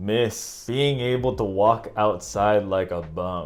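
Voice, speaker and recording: A man's fairly low voice with a Northern California accent and lively intonation. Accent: Northern California American English. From San Francisco Bay Area, California, USA. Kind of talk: casual talk to camera.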